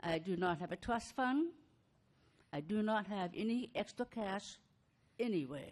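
Speech moves at a fairly slow pace. Its pitch swings very widely. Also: woman. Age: 60s. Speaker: mobile home park resident at public comment. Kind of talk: public comment at council meeting. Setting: city council chamber.

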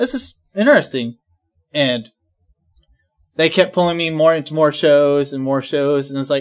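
The man keeps a moderate pace and ordinary pitch variation while the background stays quiet. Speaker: guest. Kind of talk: interview answer. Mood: relaxed, reflective. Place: studio.

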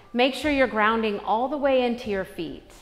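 The speech moves at a fairly slow pace while faint music plays in the background. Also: woman. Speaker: yoga instructor. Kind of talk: class instruction. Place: gym.

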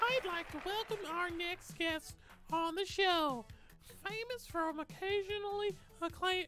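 Against clear background noise, a put-on character voice at an extremely high pitch talks at a moderate pace. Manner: smooth, showbiz.

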